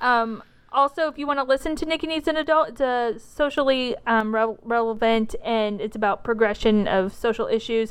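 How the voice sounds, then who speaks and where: Against a quiet background, a woman talks at a moderate pace with hardly any pauses, her high pitch showing ordinary variation. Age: 30s. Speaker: podcaster, music fan. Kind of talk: casual chat.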